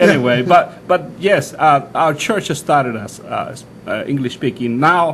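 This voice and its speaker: A man at a fairly slow pace with hardly any pauses, ordinary pitch variation and big swings in loudness, over noticeable background noise. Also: fairly high pitch for a man. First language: Spanish. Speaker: pastor. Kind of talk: interview. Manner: halting, many fillers and restarts.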